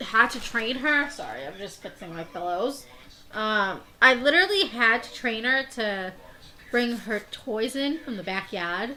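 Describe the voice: A high-pitched woman speaks with a Boston accent at a moderate pace, her tone bright and sharp. Her intonation is lively, with big swings in loudness.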